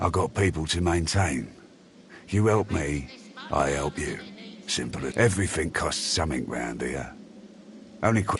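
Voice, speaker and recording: Through clear background noise, a man puts on a gruff character voice with a very deep, low pitch and lively intonation, moving at a moderate pace with long, frequent pauses. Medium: video game. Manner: gruff, streetwise, folksy grammar.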